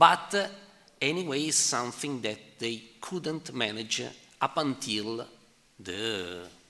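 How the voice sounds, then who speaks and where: A man in an Italian accent speaks at a fairly slow pace with a bright, sharp tone. His medium-pitched voice swings very widely. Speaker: economic historian presenting a paper. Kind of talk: conference Q&A answer. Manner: halting, many fillers.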